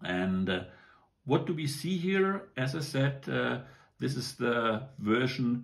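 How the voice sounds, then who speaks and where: A man speaks very slowly with lively intonation and a somewhat breathy tone. His pitch sits in the medium range. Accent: German. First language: German. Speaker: toy model reviewer. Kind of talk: product review. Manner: casual, many hesitations.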